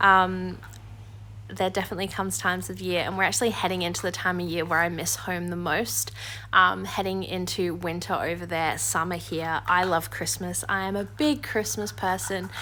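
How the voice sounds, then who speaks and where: This woman talks at a moderate pace with a relaxed tone. Room echo is audible around her. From southern England, Surrey. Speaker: homemaking vlogger. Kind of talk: casual vlog voiceover. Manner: relaxed, with many fillers.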